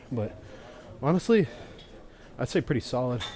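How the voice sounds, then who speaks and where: Somewhat breathy, a man talks at a fairly quick clip. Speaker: fitness vlogger. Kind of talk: casual workout vlog. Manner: casual, filler-heavy; quiet.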